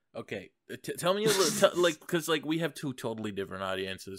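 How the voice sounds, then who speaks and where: A man with a fairly high pitch and vocal fry speaks at a very fast pace, his pitch swinging very widely. The recording is very clean, with a silent background. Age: young. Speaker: podcast host. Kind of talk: casual chat.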